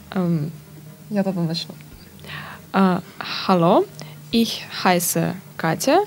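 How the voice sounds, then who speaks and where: Through noticeable background noise, a woman with a fairly low pitch talks at a very slow pace, with long, frequent pauses. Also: ordinary pitch variation. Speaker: student. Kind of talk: reading aloud. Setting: studio.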